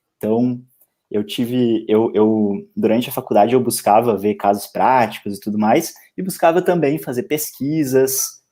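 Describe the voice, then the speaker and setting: On a very clean recording with a silent background, a dark, mellow tone carries lively intonation and big swings in loudness. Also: man. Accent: Porto Alegre. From southern Brazil, Porto Alegre. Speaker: law lecturer and civil servant. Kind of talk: casual interview chat on a live stream. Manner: halting, with frequent repetitions.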